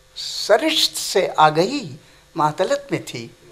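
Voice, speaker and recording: This man has a high voice that swings very widely in pitch. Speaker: retired professor. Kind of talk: life story interview. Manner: formal.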